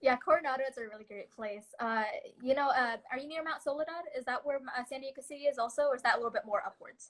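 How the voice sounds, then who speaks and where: A woman with a high pitch talks at a very fast pace. Her pitch varies in an ordinary way, while her loudness swings widely. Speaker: student leader hosting a live talk. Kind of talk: interview over video call. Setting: video call.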